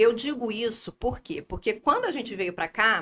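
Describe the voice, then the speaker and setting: A woman speaks in a fairly high voice. Her intonation is lively. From Brazil, Rio de Janeiro. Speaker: podcast guest, finance planner. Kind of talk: casual interview chat.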